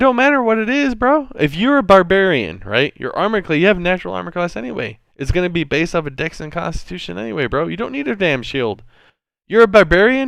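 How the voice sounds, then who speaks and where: Over a quiet background, a man speaks loudly at a high pitch and fairly quick pace, with very wide pitch swings. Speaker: game master. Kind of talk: casual chat. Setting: live stream voice chat.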